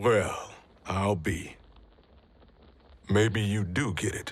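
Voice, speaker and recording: Putting on a raspy character voice, a man talks at a very slow pace with a fairly low pitch and fairly even intonation. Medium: video game. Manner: gruff, blunt.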